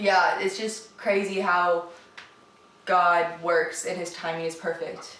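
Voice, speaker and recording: A woman with an American accent, fairly low pitch and monotone, flat intonation at a fairly slow pace, over noticeable background noise. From Indiana, USA. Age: 20s. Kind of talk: casual talk to camera.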